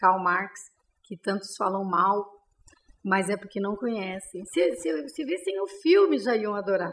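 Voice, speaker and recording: A woman speaks at a medium pitch and a fairly slow pace, with ordinary pitch variation. It is an ordinary speaking voice. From interior of São Paulo, Brazil. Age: 50s. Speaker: city councilwoman, politician. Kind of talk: interview, casual chat.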